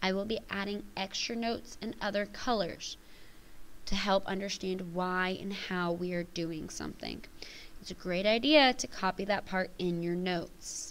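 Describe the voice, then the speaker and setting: At a moderate pace, a woman talks in an unremarkable speaking voice with ordinary pitch variation. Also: medium pitch for a woman. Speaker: math teacher. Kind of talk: tutorial.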